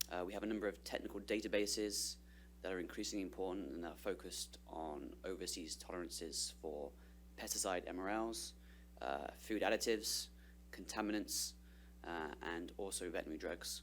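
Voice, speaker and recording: The speaker has a British accent and vocal fry, with very wide pitch swings. The pace is fairly quick. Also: man, very deep, low pitch for a man. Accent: non-Californian British. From United Kingdom. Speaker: trade policy specialist. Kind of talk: presentation to an advisory board. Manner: many filler words (uh, um).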